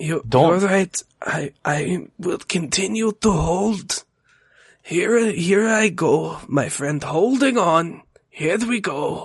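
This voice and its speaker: A man's raspy, put-on character voice, high in pitch, with lively intonation at a very slow pace. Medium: actual play. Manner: earnest, solemn.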